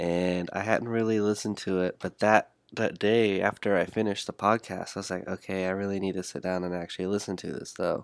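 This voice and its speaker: A man talks in a monotone with flat intonation. He hardly pauses at all. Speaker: podcast host. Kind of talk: casual chat. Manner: casual, filler-heavy.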